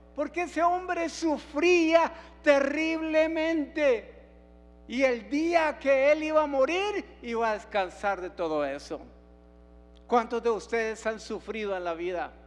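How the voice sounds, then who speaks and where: Over background music, a man speaks at a very slow pace with an extremely high pitch that swings very widely. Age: 70s. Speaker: pastor. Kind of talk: sermon.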